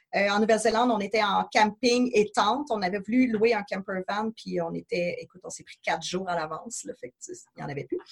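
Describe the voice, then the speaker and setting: A woman with a Quebec accent talks fairly quickly and hardly pauses, her fairly high, somewhat breathy voice showing lively intonation and big swings in loudness, in a dry, close sound with no echo. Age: 30s. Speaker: traveller. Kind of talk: podcast interview. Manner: casual.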